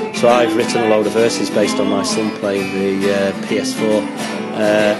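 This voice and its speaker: A man's voice with music in the background. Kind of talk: casual interview chat. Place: cafe. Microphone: phone near.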